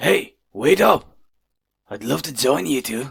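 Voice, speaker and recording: A raspy, put-on character voice moves at a fairly slow pace with very wide pitch swings. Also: man, medium pitch for a man. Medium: audio drama. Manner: mock-polite, menacing.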